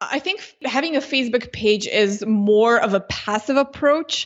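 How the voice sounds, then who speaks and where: A woman with a Slovenian accent talks at a fairly high pitch with ordinary pitch variation. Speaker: Facebook ads consultant. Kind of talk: interview.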